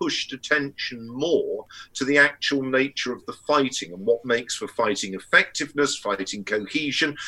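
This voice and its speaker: A man speaks at a moderate pace with an English accent. His voice is bright and sharp, pitched fairly high. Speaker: historian and academic. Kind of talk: casual chat.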